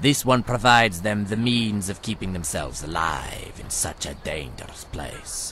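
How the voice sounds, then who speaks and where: Clear background noise sits behind a man who speaks at a moderate pace in a put-on character voice. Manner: smooth, salesman's patter, speaks of self as this one.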